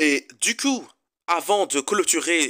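Bright and sharp in tone, a man's voice shows ordinary pitch variation.

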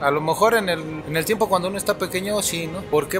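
Clear music plays in the background. The voice shows ordinary pitch variation. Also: man. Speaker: interviewee. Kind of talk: interview answer. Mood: reflective, calm. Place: street.

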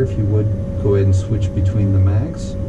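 There is loud noise in the background while a man talks. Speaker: flight instructor. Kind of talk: tutorial. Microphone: camera far.

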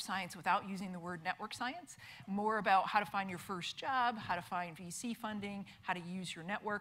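Her tone bright and sharp, a woman talks at a moderate pace. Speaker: conference presenter. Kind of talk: lecture. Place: hall.

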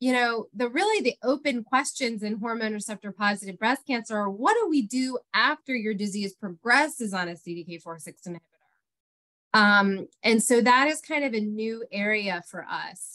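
A woman with a bright, sharp tone speaks at a moderate pace against a quiet background. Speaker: presenter. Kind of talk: lecture. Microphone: webcam.

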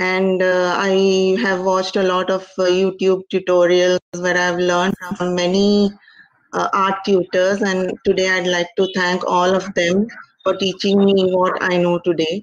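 The voice moves at a fairly slow pace in a monotone, flat intonation with very even loudness. The sound is dry with no echo, over a quiet background. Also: woman, medium pitch for a woman. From India, Mumbai. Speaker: painter. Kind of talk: interview; tutorial. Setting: video call. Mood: calm, grateful. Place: home room. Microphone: video call.

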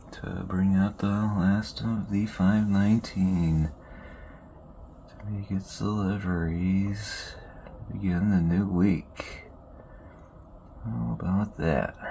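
A man with a fairly low pitch and ordinary pitch variation speaks at a very slow pace. Long, frequent pauses and light background noise fill the clip. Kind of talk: commentary. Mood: friendly, upbeat sign-off. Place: open country. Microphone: phone near.

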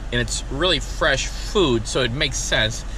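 A man, in dry sound with no echo, over light background noise. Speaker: food reviewer. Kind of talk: casual vlog chat. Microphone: phone near.

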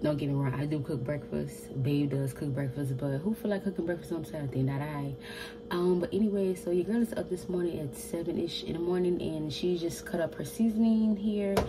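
A woman talks at a fairly quick pace in a very deep, low pitch. Noticeable background noise runs underneath. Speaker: home cooking vlogger. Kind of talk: casual vlog chat. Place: kitchen. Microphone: phone near.

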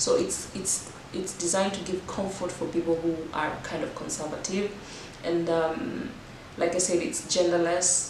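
At a moderate pace and with fairly even intonation, the voice comes through audible room echo and noticeable background noise. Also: woman. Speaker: fitness vlogger. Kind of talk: casual vlog chat.

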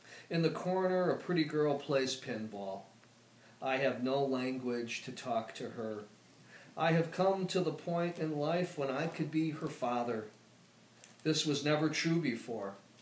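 A man speaks at a fairly slow pace with long, frequent pauses, amid light background noise and audible room echo. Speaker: poet. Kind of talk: poetry reading. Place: home room. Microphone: camera far.

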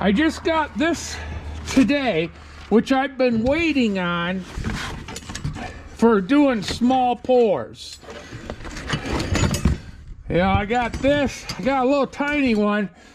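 Over noticeable background noise, a man speaks at an extremely high pitch and a very slow pace. He leaves long, frequent pauses. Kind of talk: casual vlog chat. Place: garage. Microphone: phone near.

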